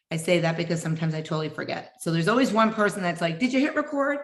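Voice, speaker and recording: A woman's fairly low voice at a very fast pace, with very wide pitch swings and noticeable background noise. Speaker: fitness coach. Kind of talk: group video meeting welcome talk. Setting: video call. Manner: loud.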